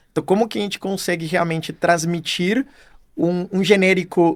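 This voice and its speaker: Speaking at a moderate pace, a man with a non-native accent talks in a high pitch. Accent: foreign accent in Portuguese. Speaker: marketing executive. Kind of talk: podcast interview. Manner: hesitant, many fillers.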